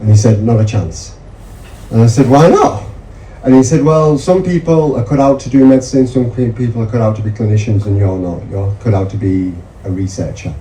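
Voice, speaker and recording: Over noticeable background noise, a man at a medium pitch speaks at a fairly quick pace with lively intonation. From northern England, Yorkshire (Mirfield). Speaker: medical researcher. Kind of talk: seminar talk.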